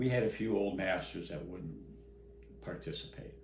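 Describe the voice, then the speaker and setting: Through noticeable background noise, a man with an American accent speaks at a very slow pace in a very deep, low pitch with very wide pitch swings. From Midwestern US. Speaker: karate grand master. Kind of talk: oral history interview answer. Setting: at home.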